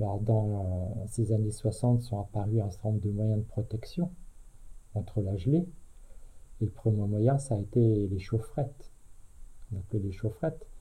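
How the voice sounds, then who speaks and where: The tone is dark and mellow, somewhat breathy, with ordinary pitch variation. The pace is fairly slow, with long, frequent pauses. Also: man, fairly low pitch for a man. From France, Aube (Champagne). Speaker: retired teacher. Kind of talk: oral history interview. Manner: hesitant, with many fillers.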